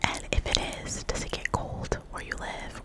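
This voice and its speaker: Loud background noise surrounds a woman who is whispering. She is soft-spoken and goes at a fairly slow pace. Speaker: ASMR creator. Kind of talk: soft ASMR word repetition and chat. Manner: soft, close-mic ASMR whisper. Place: home room. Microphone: studio mic.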